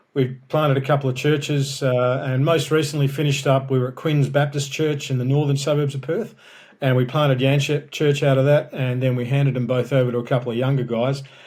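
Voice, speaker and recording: This man talks at a fairly quick clip in an Australian accent, his delivery flat and monotone with a somewhat breathy quality. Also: fairly high pitch for a man. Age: 60s. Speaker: pastor and author. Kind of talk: podcast interview. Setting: podcast recording.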